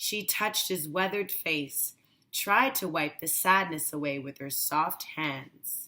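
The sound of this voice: A woman's low voice, bright and sharp in tone, slow in pace, with ordinary pitch variation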